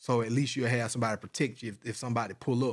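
Against a silent background in a very clean recording, a man with a medium-pitched voice talks at a very fast pace in a flat, monotone way. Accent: Georgia. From US South, middle Georgia (Forsyth, Monroe County). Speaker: rapper and film producer. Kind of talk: casual chat.

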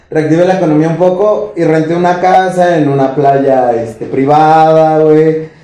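Noticeable background noise runs under a man's fairly high voice. He talks at a fairly slow pace with hardly any pauses. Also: ordinary pitch variation. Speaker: podcast co-host. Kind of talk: casual chat.

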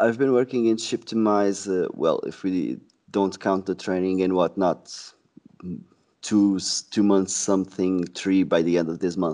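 A man with a Portuguese accent speaks fairly slowly in a very deep, low voice with ordinary pitch variation against a quiet background. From Portugal, Sesimbra. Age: 20s. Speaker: sales representative. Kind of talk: casual interview.

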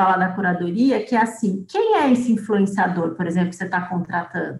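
A somewhat breathy woman talks at a fairly quick pace with lively intonation. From Brazil, Piracicaba (São Paulo interior). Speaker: journalist and communication professor. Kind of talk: podcast interview.

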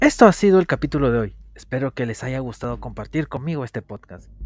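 On a very clean recording with a silent background, a man speaks at a fairly quick pace. His voice has vocal fry. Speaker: podcaster. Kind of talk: personal storytelling.

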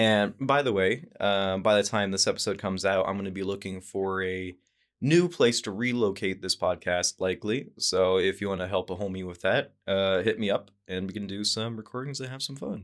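A man with an American accent speaks in a normal speaking voice at a fairly low pitch, with ordinary pitch variation, a moderate pace and hardly any pauses, on a very clean recording with a silent background. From Idaho. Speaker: podcast host. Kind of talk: casual chat.

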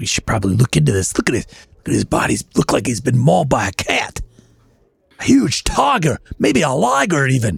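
This is a raspy, put-on character voice. It moves at a fairly quick pace. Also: man, medium pitch for a man. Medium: actual play. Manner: earnest.

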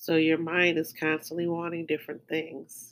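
A woman with an American accent, fairly low in pitch, a plain, everyday voice, at a moderate pace. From outside the US. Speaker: astrology podcaster. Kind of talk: daily astrology forecast and meditation talk. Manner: casual.

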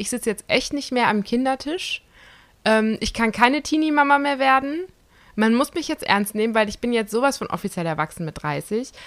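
On a very clean recording with a silent background, a woman speaks at a high pitch. Her tone is animated, her intonation lively, and her pace moderate. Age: 30s. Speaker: podcast co-host. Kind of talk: casual chat.

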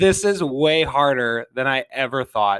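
With an American accent, a man talks at a moderate pace in a medium pitch with ordinary pitch variation, his tone bright and sharp, the sound dry and close with no echo on a very clean recording with a silent background. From Minnesota, St. Paul. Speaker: podcast host. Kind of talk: solo podcast monologue.

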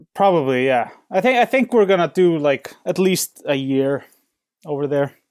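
In an Icelandic accent, a man speaks at a moderate pace with a fairly high pitch and lively intonation. The sound is dry and close, with no echo. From Iceland, Reykjavik. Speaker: painter. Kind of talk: interview. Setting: home studio in basement, remote call. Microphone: soundproofed studio, clear reception.

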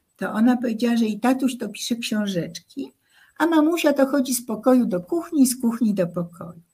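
Lively intonation carries a woman's high-pitched voice at a fairly quick pace. Her tone is dark and mellow. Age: 80s+. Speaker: songwriter and social activist. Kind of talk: radio interview.

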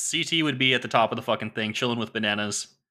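The recording is very clean, and the background is silent. In it, a man talks in an animated tone. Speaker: podcast host. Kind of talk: casual banter. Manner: profane, animated.

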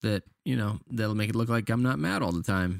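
This is a man with an unremarkable speaking voice. His pitch is fairly low, with ordinary pitch variation. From Canada. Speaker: podcast host. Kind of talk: casual chat.

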